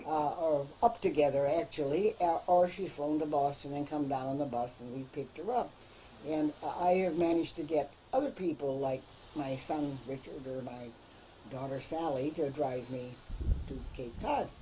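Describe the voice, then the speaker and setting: A woman with a very deep, low, dark, mellow voice speaks somewhat breathily at a moderate pace with ordinary pitch variation. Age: 80s+. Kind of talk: casual chat.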